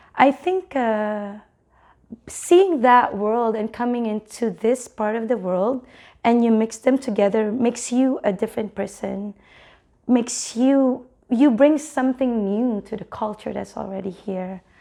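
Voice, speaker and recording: A dark, mellow tone in a Filipino accent, with ordinary pitch variation, on a very clean recording with a silent background. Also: woman, fairly high pitch for a woman, fairly slow pace. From Philippines. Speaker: teacher. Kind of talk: interview. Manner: halting.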